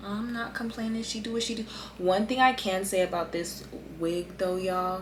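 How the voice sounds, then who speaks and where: A woman talks at a moderate pace with a medium pitch. Her intonation stays fairly even over noticeable background noise. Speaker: beauty vlogger. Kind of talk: casual chat. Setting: at home, late at night.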